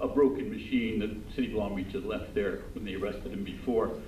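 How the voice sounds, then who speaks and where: In an American accent, a man speaks at a fairly quick pace amid audible room echo. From Southern California. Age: old. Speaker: defense attorney. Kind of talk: public comment at city council meeting. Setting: city council chamber. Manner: halting, many fillers.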